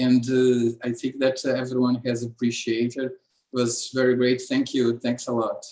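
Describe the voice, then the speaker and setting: A man with a Portuguese accent, medium pitch, dark, mellow tone, monotone, flat intonation and hardly any pauses. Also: moderate pace. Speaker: seminar host. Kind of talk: academic Q&A. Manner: halting.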